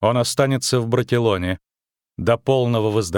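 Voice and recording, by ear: This is reading aloud in a natural voice, set against a quiet background. The intonation stays fairly even.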